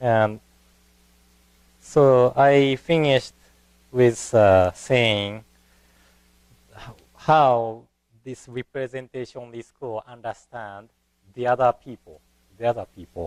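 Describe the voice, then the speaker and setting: Speech comes at a very slow pace in a Japanese accent, with long, frequent pauses and big swings in loudness. Pitch variation is ordinary, and the sound is dry and close with no echo. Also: man. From Japan (Kanazawa, Ishikawa). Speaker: Buddhist minister. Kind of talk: lecture. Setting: temple lecture hall. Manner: hesitant, with fillers.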